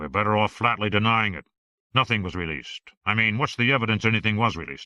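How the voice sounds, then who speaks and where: Putting on a growling character voice, a man rattles along at a very fast pace in a fairly low pitch, with ordinary pitch variation and big swings in loudness. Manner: blunt, aggressive.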